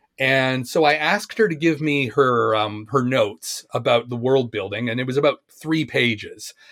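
A man's plain, everyday voice with a Canadian accent, medium pitch and ordinary pitch variation, at a moderate pace with hardly any pauses. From Canada, Ontario. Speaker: fiction writer. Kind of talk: casual chat.

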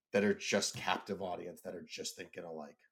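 A man talks with an American accent. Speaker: business owner and author. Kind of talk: casual chat. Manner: loud; animated.

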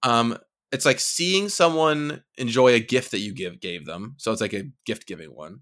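A man speaks at a moderate pace with a medium pitch. His voice takes very wide pitch swings and big swings in loudness. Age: 30s. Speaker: game designer. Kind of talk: casual chat.

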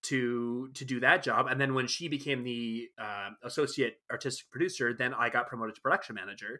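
A man with a Canadian accent, medium pitch and fairly even intonation, a plain, everyday voice. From Alberta, Canada. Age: 30s. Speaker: scenic painter and set designer. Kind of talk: casual chat.

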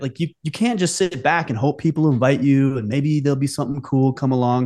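In a normal speaking voice with an American accent, a man talks at a fairly quick pace and fairly high pitch over a quiet background. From United States. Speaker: podcast host. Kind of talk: casual chat.

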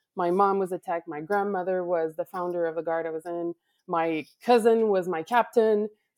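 The sound is dry and close, with no echo. A woman talks at a moderate pace, her fairly low pitch kept to fairly even intonation. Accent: Quebec. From Quebec, Canada (Laval). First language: French. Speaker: color guard director. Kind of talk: casual chat. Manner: halting, searches for words.

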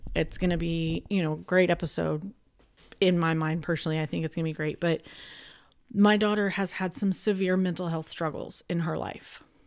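A woman with a fairly low pitch and fairly even intonation has a plain, everyday voice, heard in a very clean recording with a silent background. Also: moderate pace. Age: 30s. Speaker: podcast host. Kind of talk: casual chat. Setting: recording at cousin's house.

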